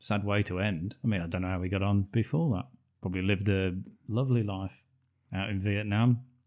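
Over a quiet background comes an unforced reading voice with fairly even intonation.

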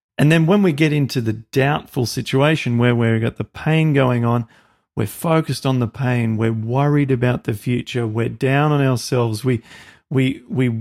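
A man with an Australian accent talks with ordinary pitch variation and very even loudness on a very clean recording with a silent background. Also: dry, close sound with no echo. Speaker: podcast host. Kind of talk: interview.

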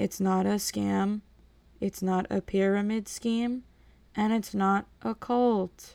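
Someone puts on a robotic character voice and talks at a fairly slow pace. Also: woman, medium pitch for a woman. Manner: flat monotone, robotic.

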